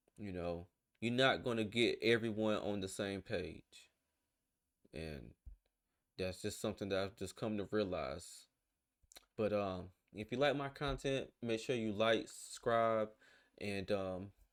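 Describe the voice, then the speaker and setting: A man with a Southern US accent speaks at a fairly slow pace, with long, frequent pauses and a fairly low pitch. His pitch varies in an ordinary way, and the recording is very clean with a silent background. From US South. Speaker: reaction video creator. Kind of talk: casual commentary. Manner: hesitant, filler-heavy.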